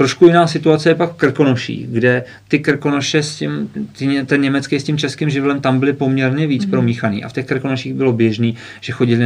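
With an unremarkable speaking voice, a man keeps a fairly quick pace and ordinary pitch variation. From northwestern Bohemia, Czech Republic. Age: 30s. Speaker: author. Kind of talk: interview.

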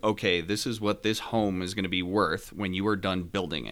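In a very clean recording with a silent background, a man with an American accent uses a normal speaking voice, fairly low in pitch, with fairly even intonation at a moderate pace. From Northeast New Jersey. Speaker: home builder. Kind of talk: podcast interview.

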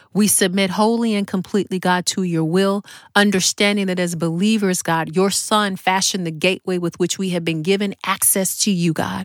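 On a very clean recording with a silent background, a woman speaks in a plain, everyday voice at a medium pitch, a moderate pace, and with fairly even intonation. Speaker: podcast host and prayer leader. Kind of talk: fervent prayer. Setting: podcast recording. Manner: earnest, devout, heartfelt; rhythmic, repetitive, and fervent.

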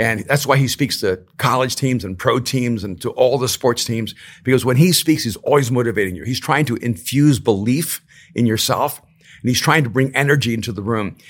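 A man's unremarkable speaking voice, medium in pitch, at a fairly quick pace with ordinary pitch variation. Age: 60s. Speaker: author and speaker.

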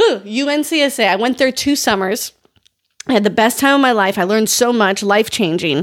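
A woman with a normal speaking voice and a fairly high pitch. Her intonation is lively while her loudness stays very even. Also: fairly quick pace. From US, North Dakota. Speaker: podcast host, dance educator. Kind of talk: casual advice podcast.

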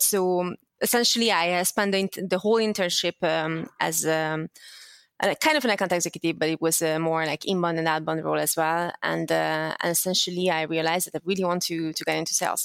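A woman talks at a fairly quick pace. The recording is very clean and dry, close with no echo, over a silent background. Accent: slight Hungarian. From Hungary. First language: Hungarian. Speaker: sales development leader. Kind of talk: interview. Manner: halting, many fillers.

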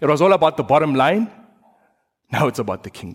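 A man's voice with ordinary pitch variation. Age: 30s. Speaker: preacher. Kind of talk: sermon.

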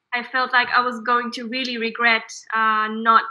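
A woman speaks with an Israeli accent at a moderate pace. Her pitch is high. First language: Hebrew. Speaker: startup co-founder. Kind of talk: interview.

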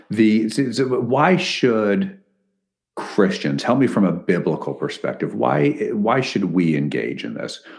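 Slow-paced and fairly low, a man with an American accent talks with vocal fry and very wide pitch swings. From Connecticut. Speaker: podcast host, ministry president. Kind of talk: interview.

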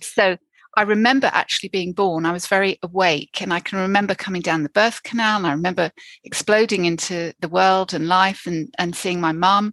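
Against a quiet background with a dry, close sound and no echo, a woman of medium pitch talks fairly quickly with fairly even intonation, an unremarkable speaking voice. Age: 50s. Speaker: therapist and addiction counselor. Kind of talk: interview.

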